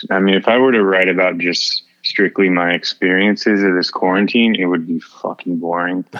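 Against noticeable background noise, a man with a very deep, low voice speaks at a moderate pace in a monotone, flat delivery. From Houston area, Texas. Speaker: singer-songwriter. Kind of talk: casual interview chat.

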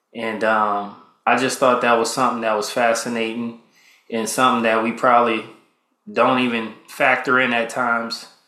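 A man's relaxed, monotone delivery at a moderate pace, medium in pitch, with flat intonation and audible room echo. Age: 30s. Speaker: podcast host, military veteran. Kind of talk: casual solo monologue. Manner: relaxed, conversational with fillers.

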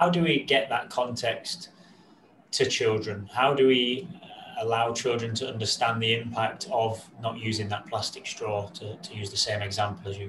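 A man speaks at a moderate pace in a plain, everyday voice. His pitch is medium, with ordinary variation. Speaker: podcast host. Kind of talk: podcast interview.

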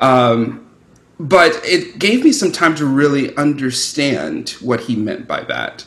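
A man with lively intonation, fairly high pitch and vocal fry at a very slow pace. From Louisiana. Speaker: spirituals singer. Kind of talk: interview.

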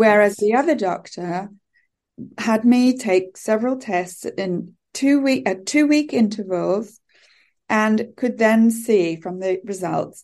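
A woman's fairly high voice with a British accent, very slow pace, ordinary pitch variation, and a quiet background. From UK. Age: 50s. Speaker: teacher and coach. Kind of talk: casual interview chat.

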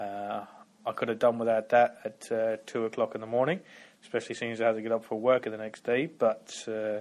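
A man with a plain, everyday voice speaks at a fairly quick pace and medium pitch. The background is quiet. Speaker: listener sending feedback. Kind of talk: recorded listener feedback message about gaming. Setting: pre-recorded audio message played into the show.

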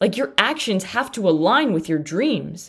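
Lively intonation marks a woman's speech, delivered at a moderate pace. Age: 20s. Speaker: fitness and nutrition podcast host. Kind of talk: solo motivational monologue. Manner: emphatic.

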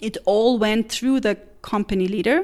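A woman speaks with a German accent in a fairly high pitch. Her pitch varies in an ordinary way. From Central European German-speaking country. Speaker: missionary. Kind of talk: interview testimony.

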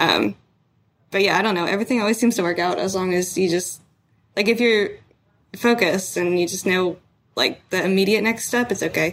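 This woman speaks at a fairly quick pace with a medium pitch, fairly even intonation, and long, frequent pauses. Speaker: university student. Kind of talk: casual mentoring conversation. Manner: halting.

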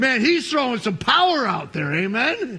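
With an American accent, a man speaks in an extremely high pitch, his raised, projected voice making very wide pitch swings. Noticeable background noise is present. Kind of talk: sermon, preaching to a live congregation, with an altar call at the end. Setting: church with live congregation. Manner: warm, jokey, conversational asides to the congregation.

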